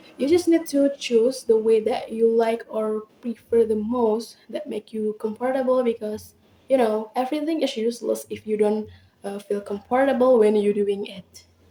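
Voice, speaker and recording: Speaking at a moderate pace, a woman with a fairly high pitch and a dark, mellow tone talks in an Indonesian accent. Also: ordinary pitch variation. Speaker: university student podcaster. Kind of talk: casual podcast monologue. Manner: hesitant, frequent filler words.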